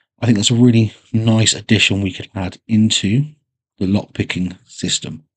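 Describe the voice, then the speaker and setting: A man speaks with a relaxed tone and fairly even intonation in a West Country accent. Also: fairly low pitch for a man, moderate pace. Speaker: gaming YouTuber. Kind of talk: casual commentary. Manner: relaxed, with fillers.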